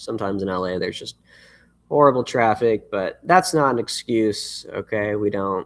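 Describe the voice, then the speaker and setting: A man at a moderate pace in a very clean recording with a silent background, the sound dry and close with no echo. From Los Angeles, US West Coast. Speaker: musician. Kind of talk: live stream chat. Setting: livestream. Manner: casual, halting with fillers.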